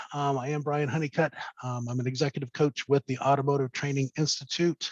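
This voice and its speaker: A man speaks with a fairly high pitch over a quiet background. The sound is dry, with no echo. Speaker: business coach. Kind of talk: webinar presentation. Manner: fast. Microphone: webcam.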